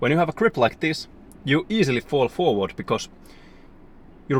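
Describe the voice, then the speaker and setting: A man speaks at a moderate pace, his pitch swinging very widely. The sound is dry and close, with no echo. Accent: non-native. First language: not English. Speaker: fitness vlogger. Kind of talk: casual vlog talk to camera. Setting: gym. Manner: halting.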